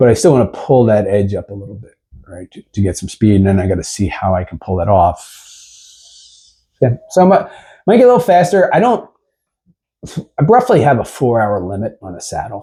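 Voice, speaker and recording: A man with an American accent has a dark, mellow, somewhat breathy tone, with very wide pitch swings and big shifts in loudness. Long pauses come often, and the very clean recording has a silent background. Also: fairly low pitch for a man, fairly quick pace. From Philadelphia area, US. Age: 60s. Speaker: cyclist, cycling club rider. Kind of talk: casual interview chat.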